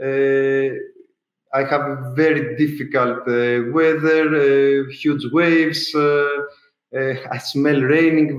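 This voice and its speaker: Here a man speaks with a Greek accent. His pitch is fairly high, and his intonation fairly even. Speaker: ultra-endurance swimmer. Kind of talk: interview. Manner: halting, many fillers.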